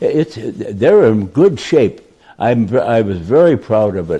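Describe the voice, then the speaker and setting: Speaking with an American accent, a man uses a dark, mellow tone and very wide pitch swings. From Detroit. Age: 80s+. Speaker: war veteran. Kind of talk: interview answer.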